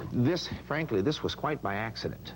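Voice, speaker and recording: A man's voice with vocal fry moves through very wide pitch swings. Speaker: book author being interviewed. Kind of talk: interview answer, book promotion.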